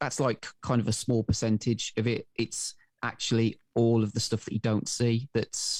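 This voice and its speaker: A man speaks with a Welsh accent at a medium pitch and moderate pace. The sound is dry and close, with no echo. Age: 40s. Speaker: podcast co-host. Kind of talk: interview. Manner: halting, many fillers.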